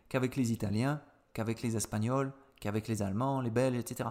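This man speaks at a medium pitch with ordinary pitch variation. His pace is fairly quick. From southeastern France (Avignon). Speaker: French teacher, podcast host. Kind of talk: educational podcast monologue. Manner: hesitant, many fillers and repetitions.

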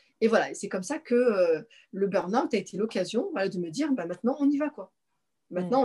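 A woman speaks at fairly high pitch with lively intonation. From Paris region, France. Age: 40s. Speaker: naturopath, former civil servant. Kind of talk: personal testimony in interview. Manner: halting, many repetitions.

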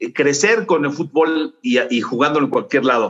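The man talks at a moderate pace in a Mexican accent with ordinary pitch variation. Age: 60s. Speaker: sports journalist. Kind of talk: interview.

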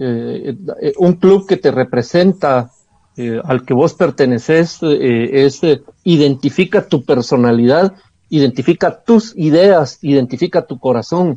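A man's fairly high, dark and mellow voice, very slow with lively intonation, against a quiet background. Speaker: football pundit. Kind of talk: heated debate.

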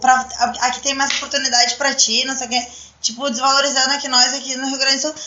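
A woman's high pitch at a fairly quick pace, with noticeable background noise and audible room echo. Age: 20s. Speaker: adult entertainment business owner. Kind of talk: casual chat. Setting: live-streamed podcast studio.

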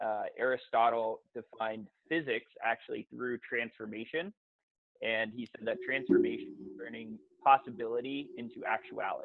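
A man talks at a moderate pace with big swings in loudness. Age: 20s. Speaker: fitness coach and entrepreneur. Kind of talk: casual interview chat.

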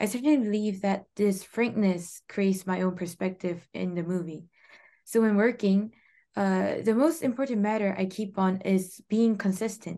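A woman's medium pitch in a dark, mellow tone, at a very slow pace with ordinary pitch variation, against a quiet background. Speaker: interpreter. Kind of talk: interview interpreting. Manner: halting.

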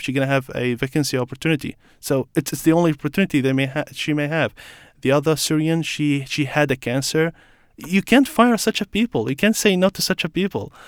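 In a very clean recording with a silent background and a dry, close sound with no echo, a man speaks at a very fast pace with a fairly high pitch. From Iraq. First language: Arabic. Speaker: refugee guest. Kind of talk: interview. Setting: studio.

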